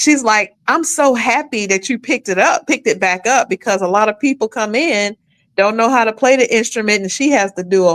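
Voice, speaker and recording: A woman's lively intonation at a fairly quick pace, on a very clean recording over a silent background. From Atlanta area, Georgia (Adamsville, Decatur). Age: 60s. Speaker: guest on talk show, actress and cellist. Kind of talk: casual self-introduction on live stream. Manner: halting, repeats words.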